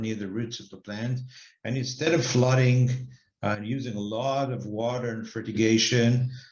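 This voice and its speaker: Audible room echo surrounds a man speaking at medium pitch with fairly even intonation. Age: 60s. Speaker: company director and investment banker. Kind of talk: interview monologue. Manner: hesitant, many fillers.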